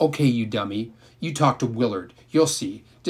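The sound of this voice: Reading in an unforced voice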